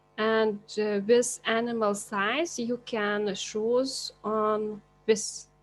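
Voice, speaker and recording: With music in the background, a woman with a non-native accent speaks very slowly in a fairly high pitch and a flat, monotone intonation. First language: not English. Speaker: teacher. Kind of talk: tutorial. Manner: halting.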